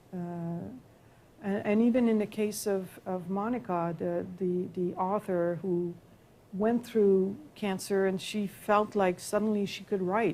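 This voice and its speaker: Speaking with a Quebec accent, a woman talks at a fairly slow pace and medium pitch, with fairly even intonation and a dark, mellow tone, in a very clean recording with a silent background. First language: French. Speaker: professor. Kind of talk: lecture Q&A. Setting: lecture hall with audience and live stream. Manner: halting.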